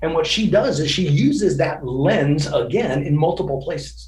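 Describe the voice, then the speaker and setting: There is noticeable background noise as a man talks at a moderate pace in a fairly high pitch. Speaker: keynote speaker. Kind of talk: podcast interview answer.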